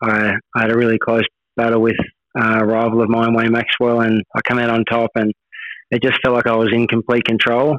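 A man speaks with an Australian accent at a fairly quick pace and medium pitch. His loudness is very even and his intonation monotone and flat. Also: dry, close sound with no echo. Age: 30s. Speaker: motorcycle racer. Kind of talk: interview. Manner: halting, repeats words.

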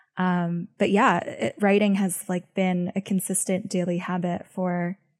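The somewhat breathy voice moves at a fairly slow pace with fairly even intonation, in a very clean recording with a silent background and a dry, close sound with no echo. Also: woman. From born in Beijing, grew up in the US from age six. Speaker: venture capitalist and writer. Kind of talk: interview.

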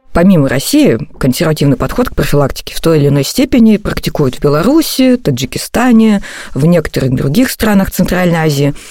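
A woman talks at a fairly low pitch and a fairly quick pace. Her pitch swings very widely while her loudness stays very even. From Russia, Novosibirsk. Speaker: podcast host and journalist. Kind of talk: scripted narration.

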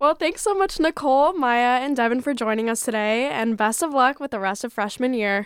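A woman speaks at a fairly quick pace with lively intonation. Her voice is high-pitched. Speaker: student radio host. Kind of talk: radio interview. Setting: radio studio.

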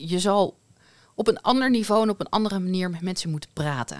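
On a very clean recording with a silent background, a woman's medium-pitched voice has a dry, close sound with no echo. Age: 40s. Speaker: podcast host, HR and leadership in healthcare. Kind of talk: casual chat.

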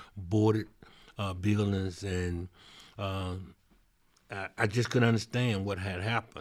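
A man with a Mississippi accent and a very deep, low pitch at a fairly slow pace, on a very clean recording with a silent background. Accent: Southern US (Mississippi). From Mississippi, Vicksburg. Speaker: mayor. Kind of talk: interview. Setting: on location in his city.

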